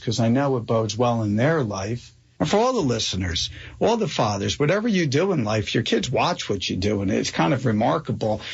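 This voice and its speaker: The voice is somewhat breathy and moves at a fairly quick pace. Its loudness stays very even. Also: man. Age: 50s. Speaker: radio show host. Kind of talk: interview conversation.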